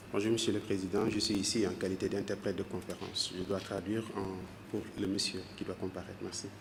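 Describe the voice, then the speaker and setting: At a fairly quick pace, a man speaks in a flat monotone, with audible room echo and noticeable background noise. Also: fairly low pitch for a man. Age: 40s. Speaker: conference interpreter. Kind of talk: court interpreting. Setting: courtroom.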